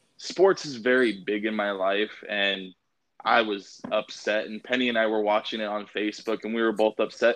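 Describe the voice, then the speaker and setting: With fairly even intonation, a man with an unremarkable speaking voice talks at a fairly low pitch in an American accent. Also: moderate pace. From Idaho, US. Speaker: podcast host. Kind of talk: interview.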